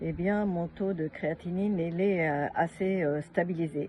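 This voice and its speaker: A woman with a fairly low pitch speaks fairly slowly, somewhat breathy, with fairly even intonation. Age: 70s. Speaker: customer giving a product testimonial. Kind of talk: testimony. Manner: halting, many hesitations.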